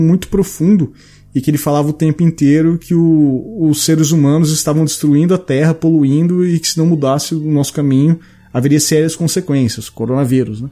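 Here is a man with a normal speaking voice and fairly high pitch. He keeps a moderate pace with ordinary pitch variation. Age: 30s. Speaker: podcast host. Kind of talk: casual chat.

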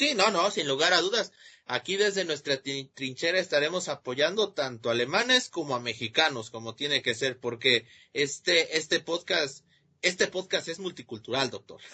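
A man with an ordinary speaking voice talks at a moderate pace, his pitch fairly high and his intonation lively. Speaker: sports podcast host. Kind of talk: casual sports chat.

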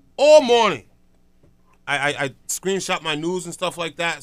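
A man talks with a New York accent. His pace is fairly quick and his intonation is lively. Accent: New York (Harlem) urban American English. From New York City, Harlem. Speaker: morning radio show host. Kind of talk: radio DJ patter, rattling off town-by-town morning shout-outs and segment intros. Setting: radio studio. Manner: hype, rapid-fire, repetitive call-outs with slangy street energy; punchy, rhetorical segment-opener cadence.

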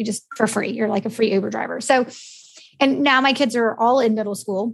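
Speaking very fast, a woman uses an American accent and a fairly high pitch. Her voice is somewhat breathy, with ordinary pitch variation. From United States. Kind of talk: podcast interview.

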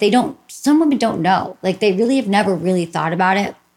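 With an American accent, a woman speaks at medium pitch and a fairly quick pace. Her voice is somewhat breathy, with lively intonation. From Michigan. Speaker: sex therapist and podcast host. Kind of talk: casual interview chat.

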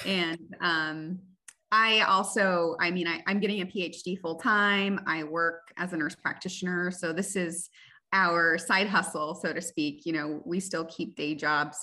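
The tone is bright and sharp. Delivery comes at a fairly slow pace with fairly even intonation. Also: woman, fairly low pitch for a woman.

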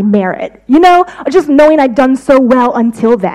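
A high-pitched woman with an American accent talks at a fairly quick pace with very wide pitch swings over noticeable background noise. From United States. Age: 30s. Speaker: visiting preacher. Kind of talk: sermon.

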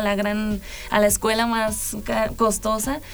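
Against noticeable background noise and audible room echo, a woman speaks with a fairly high pitch. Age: 20s. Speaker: musician, guitarist and singer. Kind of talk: interview. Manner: halting.

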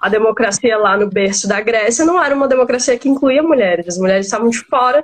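Here a woman talks at a fairly quick pace with lively intonation. She has a fairly high pitch and an ordinary speaking voice. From Maranhão, Brazil. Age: 20s. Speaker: lawyer and political party spokesperson. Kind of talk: live-stream interview on feminism and politics. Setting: online live stream.

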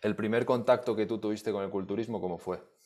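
Fairly low in pitch, a man speaks with a Spanish accent and fairly even intonation in a very clean recording with a silent background. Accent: Peninsular Spanish. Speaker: podcast host. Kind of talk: interview.

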